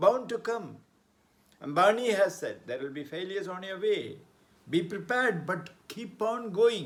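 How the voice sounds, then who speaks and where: A man at a fairly slow pace with lively intonation. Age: 70s. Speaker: motivational speaker and author. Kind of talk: motivational talk.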